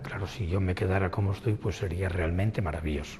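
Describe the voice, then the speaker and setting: The speech comes at a very fast pace with ordinary pitch variation. Background noise is noticeable. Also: man. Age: 60s. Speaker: person living with retinitis pigmentosa. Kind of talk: documentary interview testimony.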